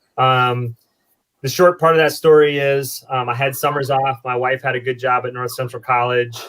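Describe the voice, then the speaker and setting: This man speaks with an American accent at a medium pitch. His pace is moderate and his intonation monotone and flat. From US Midwest, eastern Iowa. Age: 40s. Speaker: brewer. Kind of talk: casual chat.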